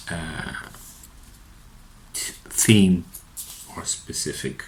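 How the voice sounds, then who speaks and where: A man with a Portuguese accent speaks over noticeable background noise. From Portugal. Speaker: psychotherapist. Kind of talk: unscripted monologue. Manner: halting, many fillers and repetitions.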